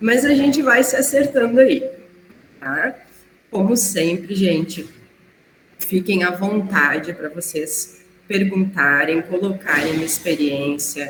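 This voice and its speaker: A woman speaks in a hoarse, put-on character voice at medium pitch, her pitch swinging very widely. She talks at a fairly slow pace with long, frequent pauses. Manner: slow, careful.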